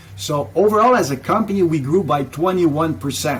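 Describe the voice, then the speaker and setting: A man with a French accent talks at a fairly quick pace and lively intonation. Noticeable background noise runs under his speech. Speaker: business founder. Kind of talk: interview.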